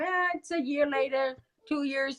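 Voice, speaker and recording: A woman's loud, high voice with a German accent at a moderate pace. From Germany. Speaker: grieving mother and activist. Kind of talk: interview.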